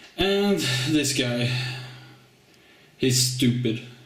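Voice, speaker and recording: Medium pitch from a male speaker, with noticeable noise in the background. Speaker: card game video host. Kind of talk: casual talk to camera.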